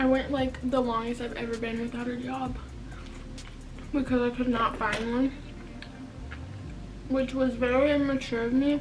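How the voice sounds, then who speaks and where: Over noticeable background noise, a woman speaks at a high pitch with monotone, flat intonation. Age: young. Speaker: YouTuber. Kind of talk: casual talk to camera.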